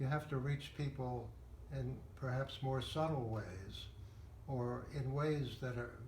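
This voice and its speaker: A somewhat breathy man speaks at a medium pitch with fairly even intonation. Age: 80s+. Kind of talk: interview answer. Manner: thoughtful, hesitant.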